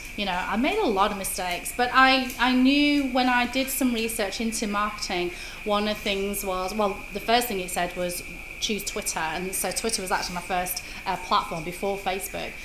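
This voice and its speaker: A woman at a medium pitch talks at a moderate pace, with audible room echo and noticeable background noise. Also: ordinary pitch variation. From Britain. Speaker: social media marketer. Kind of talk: interview.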